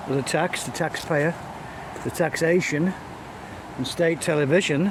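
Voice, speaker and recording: Through noticeable background noise, a man with an English accent speaks at a fairly slow pace in a high voice with ordinary pitch variation. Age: 70s. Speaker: vlogger. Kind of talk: casual vlog monologue. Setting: outdoors, walking a dog in woods. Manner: halting.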